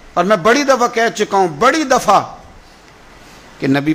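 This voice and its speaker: A man speaks with ordinary pitch variation over noticeable background noise. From Pakistan. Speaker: Islamic preacher. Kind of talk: religious sermon. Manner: emotional, impassioned.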